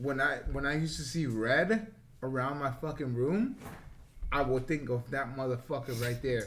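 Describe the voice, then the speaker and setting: This man has a plain, everyday voice at medium pitch. He talks at a moderate pace with ordinary pitch variation. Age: 30s. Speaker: podcast co-host. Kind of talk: casual chat.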